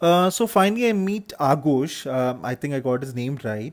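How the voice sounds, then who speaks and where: Lively in intonation, a man with a Keralan accent speaks at a fairly high pitch. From Kerala, India. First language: Malayalam. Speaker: vlogger, hotelier. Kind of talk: travel vlog narration. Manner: hesitant, many fillers.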